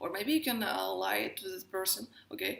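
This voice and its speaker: A Russian accent at a moderate pace. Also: woman. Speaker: astrologer and tarot reader. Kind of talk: casual talk to camera.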